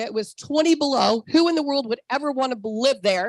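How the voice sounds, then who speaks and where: A woman speaks in a high pitch with an animated tone and ordinary pitch variation. Her moderate pace comes through in a dry, close sound with no echo. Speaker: network marketing distributor. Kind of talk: sales pitch with personal testimony. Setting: video call.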